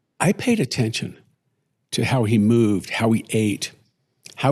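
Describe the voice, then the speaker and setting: Somewhat breathy, the speech proceeds at a fairly slow pace. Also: man. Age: 60s. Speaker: retired father, podcast co-host. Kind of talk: casual conversation; scripted intro. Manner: hesitant, reflective.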